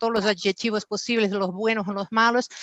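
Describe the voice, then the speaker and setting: With a monotone, flat intonation at a medium pitch, a woman speaks in a dry, close sound with no echo against a quiet background. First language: Portuguese (speaking Spanish). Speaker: business executive, panelist. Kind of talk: panel discussion. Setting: virtual conference. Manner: hesitant, frequent fillers.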